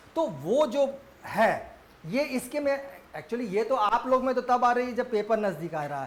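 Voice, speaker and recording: This man's voice is extremely high-pitched, with lively intonation. Noticeable background noise runs beneath it. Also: moderate pace. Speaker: history teacher for civil service exams. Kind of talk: lecture. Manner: casual, conversational.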